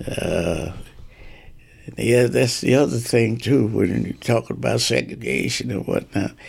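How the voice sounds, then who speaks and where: Vocal fry from a man at a fairly low pitch, with very wide pitch swings and a fairly slow pace. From New Jersey, Asbury Park. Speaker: retired police officer and pastor. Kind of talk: interview storytelling. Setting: in his home. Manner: halting.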